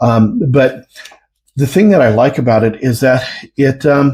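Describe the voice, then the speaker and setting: A man's somewhat breathy voice at medium pitch, with lively intonation and a moderate pace. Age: 60s. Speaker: product reviewer. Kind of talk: product review. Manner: halting, many fillers.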